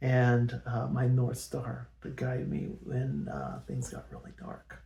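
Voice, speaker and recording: Very slowly, a man speaks in a Californian accent. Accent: General American (Californian). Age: 60s. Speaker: personal storyteller. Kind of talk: personal testimony. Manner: halting, many fillers. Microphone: poor original audio, amplified in edit.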